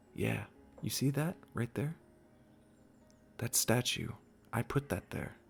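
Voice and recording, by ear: A man puts on a character voice at medium pitch, speaking at a slow pace with vocal fry, a slightly husky edge and big pitch swings.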